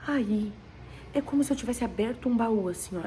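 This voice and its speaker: A soft-spoken woman with a fairly high pitch uses lively intonation at a moderate pace. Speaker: vlogger sharing a dream. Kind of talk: personal testimony. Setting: at home.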